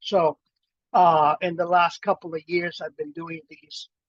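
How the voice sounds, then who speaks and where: Speaking at a fairly slow pace, a man with a high voice is heard in a dry, close recording with no echo. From Miami, South Florida (Cuban-born, arrived as child). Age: 60s. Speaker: poet and professor. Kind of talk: casual talk before a poetry reading. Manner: halting, many fillers.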